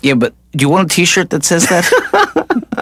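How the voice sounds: In a cartoonish character voice, a man speaks high for a man at a fairly slow pace, with very wide pitch swings, a fairly bright tone and a slightly husky edge.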